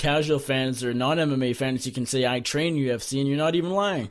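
With an unremarkable speaking voice, a man talks at a moderate pace, his fairly high pitch held in fairly even intonation. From Canada. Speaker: MMA journalist. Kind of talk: interview.

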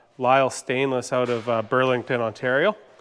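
At a moderate pace, a man speaks. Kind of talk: casual workshop tutorial. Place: garage. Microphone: phone near.

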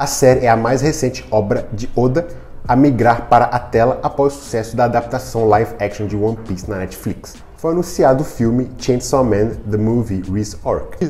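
The man's pitch shifts in an ordinary way. He keeps to a moderate pace. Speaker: news presenter. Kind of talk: news commentary. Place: home room. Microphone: lapel.

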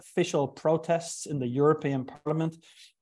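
Over a quiet background, a man speaks with an Irish accent. His tone is dark and mellow, and his pace is fairly quick. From Ireland. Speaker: neuroscience professor; guest lecturer. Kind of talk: lecture. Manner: halting. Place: home room.

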